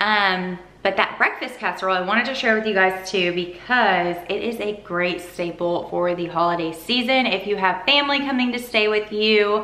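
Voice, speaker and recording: With audible room echo, a woman talks at a moderate pace with ordinary pitch variation and hardly any pauses. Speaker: vlogger. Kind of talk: casual vlog chat. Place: kitchen.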